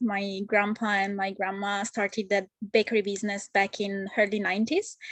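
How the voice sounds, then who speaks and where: Speaking with an Italian accent, a woman has a fairly high pitch. Her pace is moderate. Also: quiet background. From Italy, Genoa. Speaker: home baker. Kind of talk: interview. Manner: halting.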